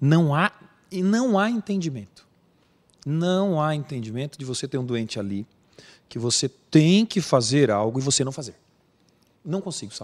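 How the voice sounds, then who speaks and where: This man talks at a moderate pace with long, frequent pauses, his fairly high pitch swinging very widely. The recording is very clean and the background silent. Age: 40s. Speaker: emergency physician. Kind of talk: interview. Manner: emotional, earnest.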